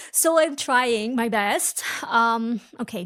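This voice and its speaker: Recorded very cleanly against a silent background, a woman speaks in an animated tone at a fairly high pitch. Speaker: podcast host. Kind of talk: casual educational podcast monologue.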